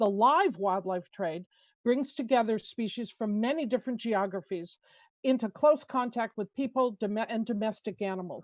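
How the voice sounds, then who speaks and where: With an American accent, a woman speaks in a normal speaking voice at a fairly high pitch, a moderate pace and ordinary pitch variation, in a dry, close sound with no echo. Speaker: conservation policy expert. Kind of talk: testimony. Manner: formal.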